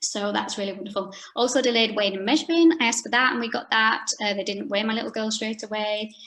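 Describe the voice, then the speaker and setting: Over noticeable background noise, a woman with a Yorkshire accent talks at a very fast pace with hardly any pauses, fairly high in pitch with ordinary pitch variation. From Yorkshire, northern England. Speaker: pelvic health physiotherapist. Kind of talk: online talk.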